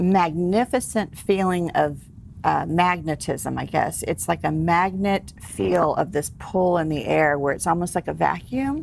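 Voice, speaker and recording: Speaking at a fairly slow pace, a woman talks with a Texas accent. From Texas, San Antonio. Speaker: celebrity hypnotherapist and author. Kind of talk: interview. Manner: casual.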